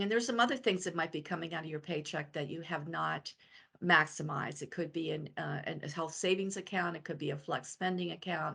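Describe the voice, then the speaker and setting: Against a quiet background, a woman talks at a fairly quick pace with a fairly low pitch, vocal fry, a bright, sharp tone and ordinary pitch variation. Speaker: financial advisor. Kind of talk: webinar presentation. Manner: fast.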